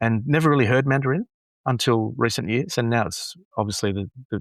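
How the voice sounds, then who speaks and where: A man of medium pitch with an Australian accent and ordinary pitch variation, dry and close with no echo, over a quiet background. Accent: Anglo-Australian. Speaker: graduation announcer and app developer. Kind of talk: casual interview chat. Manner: halting, many repeated words.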